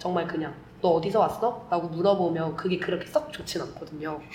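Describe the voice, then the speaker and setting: A woman talks in a fairly low pitch. Audible room echo and noticeable background noise surround her voice. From Korea, Vietnam and Germany. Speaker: podcast co-host. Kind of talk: casual chat.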